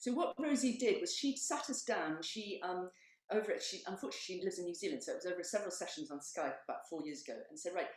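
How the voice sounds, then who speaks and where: A woman talks at a very fast pace in a somewhat breathy voice. The background is quiet, and room echo is audible. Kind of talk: presentation talk. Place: home room. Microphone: camera far.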